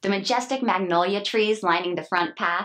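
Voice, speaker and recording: A woman talks at a moderate pace with lively intonation. Her voice carries vocal fry. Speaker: TV host. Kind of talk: TV host read to camera.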